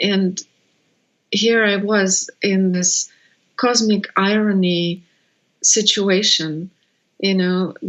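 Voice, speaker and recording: A woman with a Russian accent at a very slow pace, medium pitch and fairly even intonation, with long, frequent pauses and very even loudness. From Russia (Siberia). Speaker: birth educator. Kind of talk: interview. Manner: halting.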